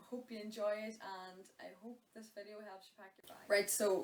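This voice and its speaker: A woman with a Donegal accent and a medium pitch. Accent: Donegal Irish. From Ireland. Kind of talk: casual talk to camera. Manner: chatty, informal.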